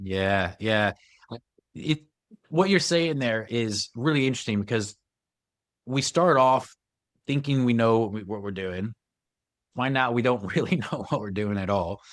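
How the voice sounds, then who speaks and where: With an American accent, a man speaks at medium pitch and a moderate pace. His intonation is lively, broken by long, frequent pauses. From United States. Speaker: podcast host. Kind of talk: podcast interview.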